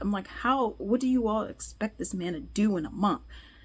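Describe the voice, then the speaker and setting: In a very clean recording with a silent background, the somewhat breathy voice moves at a fairly quick pace with lively intonation. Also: woman. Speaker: news commentator. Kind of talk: casual news commentary.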